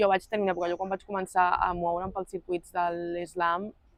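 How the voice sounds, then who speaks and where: Monotone and flat, a woman's fairly low voice moves at a fairly quick pace. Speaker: slam poet. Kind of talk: interview answer.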